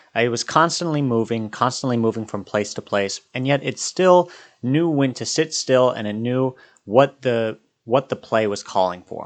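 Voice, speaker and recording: Against a quiet background, a man speaks at a fairly quick pace, medium in pitch with ordinary pitch variation. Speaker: film reviewer. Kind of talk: casual film review to camera. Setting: talking to a camera, home video. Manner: halting, with fillers and restarts.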